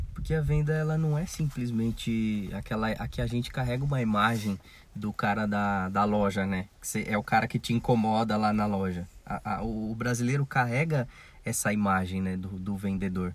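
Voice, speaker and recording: The recording is very clean with a silent background, and a man with an ordinary speaking voice delivers his words at a moderate pace, his pitch varying in an ordinary way. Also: fairly low pitch for a man. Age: 20s. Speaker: podcast co-host. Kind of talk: casual chat.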